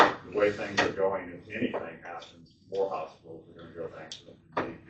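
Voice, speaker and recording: A man's speech carries audible room echo, with noticeable background noise behind it. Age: 70s. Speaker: retired nurse speaking at public meeting. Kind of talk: public comment at county board meeting.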